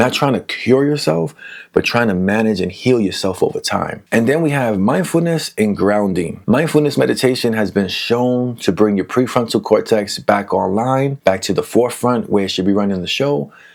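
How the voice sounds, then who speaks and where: Mumbling in a New York accent, a man at a medium pitch speaks at a moderate pace with lively intonation and hardly any pauses. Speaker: mental health educator. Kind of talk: casual educational talk. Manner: soft-spoken.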